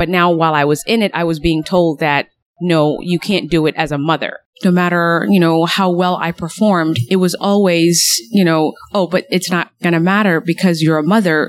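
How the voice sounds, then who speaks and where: An unremarkable speaking voice with an American accent moves at a moderate pace. Its loudness stays very even, and the intonation is fairly even. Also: woman, fairly low pitch for a woman. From Somalia, then US from age nine. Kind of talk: interview.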